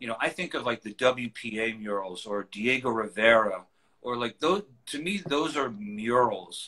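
A man with a New York accent speaks at a moderate pace against a quiet background. His tone is bright and sharp, and his intonation is lively. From New York City, Queens. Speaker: collage artist. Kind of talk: casual interview. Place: home room. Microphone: video call.

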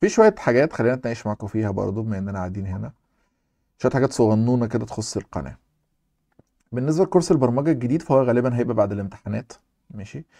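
A man with an Egyptian accent, at a medium pitch with a dark, mellow tone and lively intonation, talking very fast with big swings in loudness, in a dry, close recording with no echo. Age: young. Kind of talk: casual Q&A chat.

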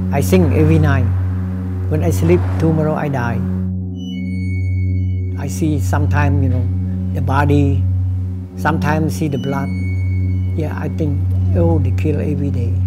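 A man speaks with long, frequent pauses over loud background music. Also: moderate pace. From Cambodia. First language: Khmer. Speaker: kickboxing trainer. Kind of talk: interview answer. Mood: sad, reflective. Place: gym. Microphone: lapel.

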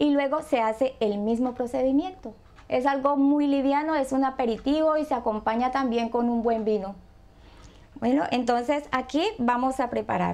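A woman speaks in a high pitch at a moderate pace. Her loudness stays very even, and her pitch varies in an ordinary way. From Colombia, Buenaventura (Pacific coast); Colombia. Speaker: home cook; guest. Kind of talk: cooking tutorial. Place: kitchen.

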